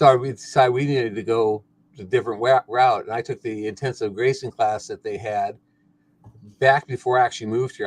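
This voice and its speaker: In a somewhat breathy, medium-pitched voice, a man speaks at a fairly quick pace with monotone, flat intonation and big swings in loudness. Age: 60s. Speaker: retired farmer and rancher. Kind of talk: casual chat.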